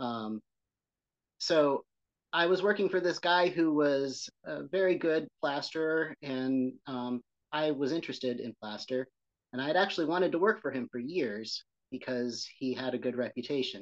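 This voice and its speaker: The delivery has lively intonation at a moderate pace. The sound is dry and close with no echo over a quiet background. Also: man, fairly high pitch for a man. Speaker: building preservation specialist. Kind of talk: casual interview conversation. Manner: gentle, soothing rhythm.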